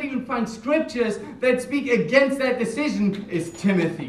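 A man with a German accent, an extremely high pitch, ordinary pitch variation and a moderate pace, over noticeable background noise. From Germany. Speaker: church minister. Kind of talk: sermon.

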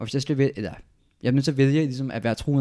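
At a very fast pace, a man speaks in a medium pitch with a dark, mellow tone on a very clean recording with a silent background. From Denmark, Odense. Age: 20s. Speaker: political science student. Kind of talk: casual interview. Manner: halting.

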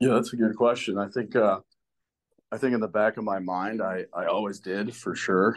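A man with an American accent, fairly low-pitched and monotone, flat in intonation, at a moderate pace. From Chicago suburbs, Illinois. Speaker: college football assistant coach. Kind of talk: interview.

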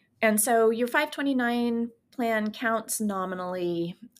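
American accent from a woman, very clean recording, silent background. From California, San Francisco Bay Area. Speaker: financial planner. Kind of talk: interview.

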